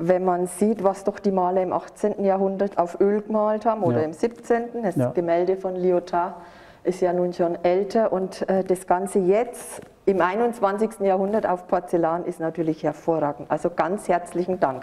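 Intonation stays fairly even while the delivery moves at a moderate pace. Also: woman. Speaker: museum staff. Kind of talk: casual conversation, thanking a donor. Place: hall.

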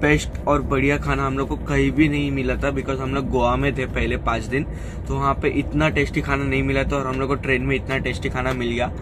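A man talks with hardly any pauses. Noticeable background noise runs behind him. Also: moderate pace. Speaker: travel vlogger. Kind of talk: casual vlog chat. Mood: pleased, relaxed. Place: train. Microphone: phone near.

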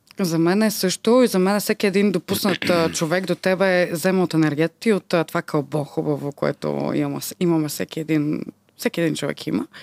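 Speech at a moderate pace with ordinary pitch variation sounds dry with no echo against a quiet background. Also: woman, fairly low pitch for a woman. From Bulgaria, Varna; Bulgaria. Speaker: podcast host. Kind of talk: casual interview chat. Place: studio. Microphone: studio mic.

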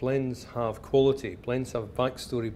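With a Glasgow accent, a man speaks in a dark, mellow tone at a medium pitch, with ordinary pitch variation and a moderate pace. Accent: Scottish (Glasgow). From Glasgow, Scotland. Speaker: whisky writer. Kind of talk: live talk to an audience.

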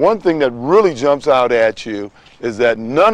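A man speaks at a fairly slow pace with lively intonation. The sound is dry, with no echo. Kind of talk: scripted presentation to camera. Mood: earnest, persuasive.

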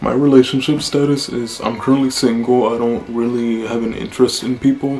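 A man's flat, monotone voice over faint background music. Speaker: vlogger. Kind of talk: casual talk to camera. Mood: relaxed, chill. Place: home room.

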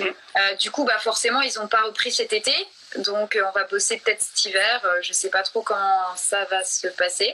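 A woman's fairly high voice at a moderate pace, fairly even in intonation, over light background noise. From Franche-Comté, France. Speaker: actress and photo model; actress. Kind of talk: casual interview chat. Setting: live stream on Instagram. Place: home room. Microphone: video call.

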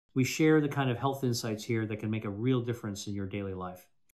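A man at a very fast pace over a quiet background. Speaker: presenter. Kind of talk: scripted health talk to camera. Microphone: studio mic.

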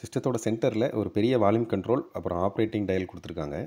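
The man's voice sits fairly low, with a dark, mellow tone. He talks at a fast pace with ordinary pitch variation.

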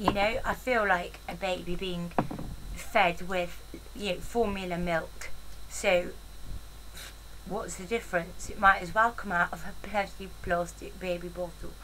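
Against clear background noise, a woman speaks at a fairly slow pace in a fairly low pitch with fairly even intonation.

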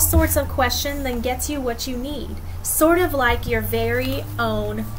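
A woman talks at a fairly slow pace. There is light background noise. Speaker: teacher reading to students. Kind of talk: read-aloud with commentary. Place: garden. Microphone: webcam.

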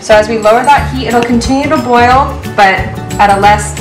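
A woman talks at a fairly quick pace. Behind her, music can be heard clearly. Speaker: cooking instructor. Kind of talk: tutorial. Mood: friendly, upbeat. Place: kitchen.

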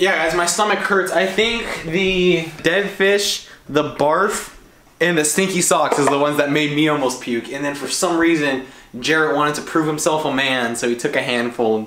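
A man's moderately paced speech, ordinary pitch variation, audible room echo. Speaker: vlogger. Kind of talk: casual vlog chat. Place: kitchen. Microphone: camera far.

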